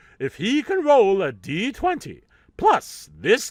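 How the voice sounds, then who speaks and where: A man performs in a put-on character voice. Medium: solo performance. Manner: theatrical, upbeat.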